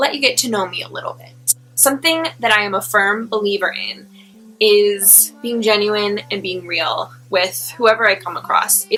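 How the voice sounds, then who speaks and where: A woman with an American accent talks at a moderate pace in a fairly high pitch. Music plays in the background. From Long Island, New York. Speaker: registered dietitian and personal trainer. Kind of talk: casual talk to camera.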